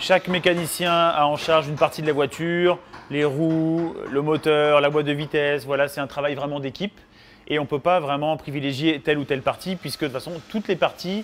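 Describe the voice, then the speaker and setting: At a fairly quick pace, a man speaks over light background noise. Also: fairly even intonation. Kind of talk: interview answer. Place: workshop. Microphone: lapel.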